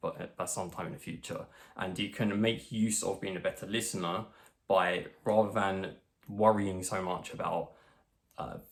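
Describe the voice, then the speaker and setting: A man in an English accent, fairly low-pitched, with monotone, flat intonation. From England. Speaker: social skills coach. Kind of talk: tutorial. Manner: fast.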